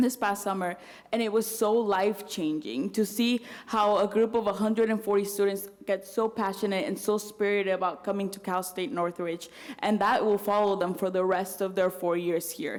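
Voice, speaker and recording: Against noticeable background noise, a woman with a Spanish accent talks at a moderate pace and medium pitch with fairly even intonation. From Mexico City, then US from age ten. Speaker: student body president. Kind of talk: speech at campus event.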